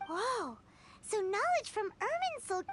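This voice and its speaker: At a fairly slow pace, a squeaky put-on character voice with an extremely high pitch speaks over clear background noise. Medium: video game. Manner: energetic, chirpy.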